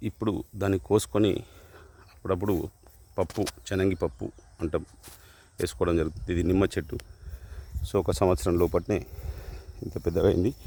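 A man's very deep, low voice with vocal fry, a dark, mellow tone and ordinary pitch variation. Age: 50s. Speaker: hobby farmer vlogger. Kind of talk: casual vlog talk. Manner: halting.

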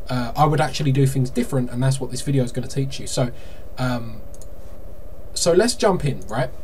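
The voice shows ordinary pitch variation, with light background noise. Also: man. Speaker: marketing consultant. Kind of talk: tutorial. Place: home room.

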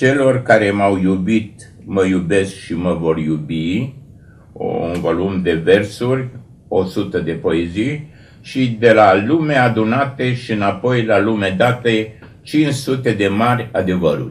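Speaking at a very slow pace, a man uses a fairly low pitch with ordinary pitch variation. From Romania. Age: 80s+. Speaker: writer and poet; poet. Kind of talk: TV interview. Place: studio.

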